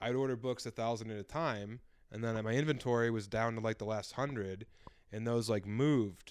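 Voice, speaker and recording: A man's unremarkable speaking voice, medium in pitch, fairly quick in pace and fairly even in intonation, against a quiet background. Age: 30s. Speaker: comedian and author. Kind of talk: casual chat.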